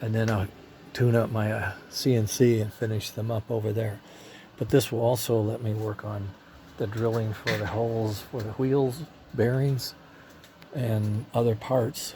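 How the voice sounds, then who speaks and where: A man's somewhat breathy voice at medium pitch, fairly slow and fairly even in intonation, broken by long, frequent pauses. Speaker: hobbyist model train builder. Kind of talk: casual video log. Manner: halting.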